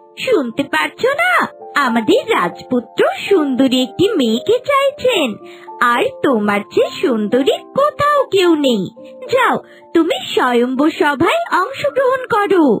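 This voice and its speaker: A high, cartoonish character voice moves at a fairly slow pace over clear background music. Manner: warm, encouraging.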